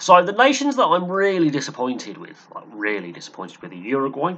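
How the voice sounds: Lively intonation marks a man's speech at medium pitch. His pace is fairly quick and his tone fairly bright.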